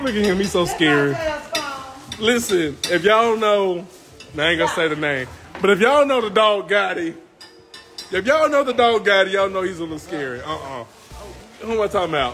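Someone speaks at a fairly quick pace with faint music in the background. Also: man. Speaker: live streamer. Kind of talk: casual vlog chat. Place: home room. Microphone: phone near.

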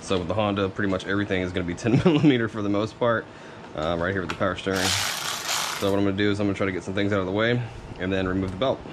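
A man rushes along at a very fast pace while noticeable background noise plays underneath. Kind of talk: tutorial. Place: garage. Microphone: phone near.

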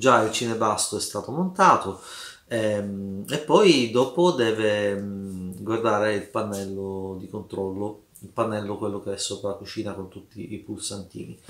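In a room with audible echo, a man with a fairly low pitch speaks at a fairly slow pace, with ordinary pitch variation and big swings in loudness. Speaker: vlogger. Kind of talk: casual vlog chat. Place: home room. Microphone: camera far.

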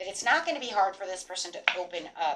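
Very fast speech comes from a woman with ordinary pitch variation. Noticeable background noise sits behind her. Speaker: tarot reader. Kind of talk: tarot reading commentary. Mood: warm, upbeat. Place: home room.

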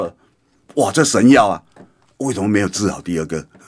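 A man talks with vocal fry against a quiet background. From Taiwan. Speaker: radio political commentator. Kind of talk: radio commentary monologue; radio commentary. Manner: animated; frequent fillers. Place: studio. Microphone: studio mic.

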